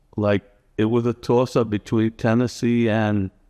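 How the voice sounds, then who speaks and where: A man with an American accent speaks at a very slow pace, the sound dry and close with no echo against a quiet background. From New York City (Bronx). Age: 60s. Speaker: homebuyer who relocated. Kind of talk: casual interview. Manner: halting.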